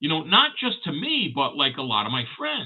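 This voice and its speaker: A man at a fairly slow pace. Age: 60s. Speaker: collectibles livestream host. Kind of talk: casual chat. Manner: halting.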